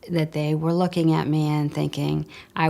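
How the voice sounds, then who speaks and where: A woman with a Midwestern accent and very deep, low pitch talks at a moderate pace on a very clean recording with a silent background. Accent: American Midwest. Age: 60s. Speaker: customer giving a testimonial. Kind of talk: testimony.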